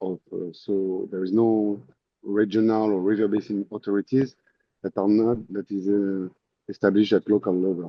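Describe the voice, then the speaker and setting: A man speaks at a moderate pace with a fairly low pitch. His intonation is monotone and flat. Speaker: webinar participant. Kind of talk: Q&A question. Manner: soft-spoken.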